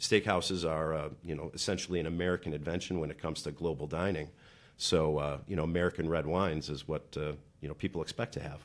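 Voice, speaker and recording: At a very fast pace, a man with a very deep, low pitch speaks with fairly even intonation in a very clean recording with a silent background. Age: 40s. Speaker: restaurant manager. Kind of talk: casual chat.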